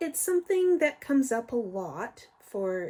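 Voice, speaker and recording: Speaking very slowly, a woman uses lively intonation in a dark, mellow, somewhat breathy tone. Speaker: YouTuber explaining ADHD. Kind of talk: educational talk. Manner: slow, careful enunciation.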